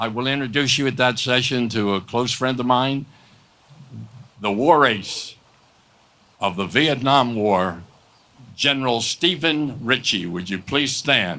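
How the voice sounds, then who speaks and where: With an American accent, a man talks at a fairly slow pace in a bright, sharp tone and medium pitch, his pitch varying in an ordinary way, with long, frequent pauses. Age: 80s+. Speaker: war veteran and keynote speaker. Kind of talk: speech.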